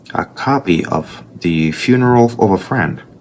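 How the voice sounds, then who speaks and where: A man with a strong Puerto Rican accent, fairly low in pitch, at a very slow pace with lively intonation, over noticeable background noise. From Puerto Rico. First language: Spanish. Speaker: artist. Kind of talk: casual vlog commentary while drawing. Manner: passionate.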